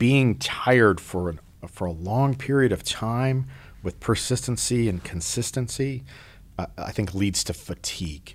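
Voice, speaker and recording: In a very clean recording with a silent background, a man with a normal speaking voice and an American accent talks at a medium pitch and a fairly slow pace with lively intonation. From US upper Midwest, Minneapolis. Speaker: military commander. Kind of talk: casual interview.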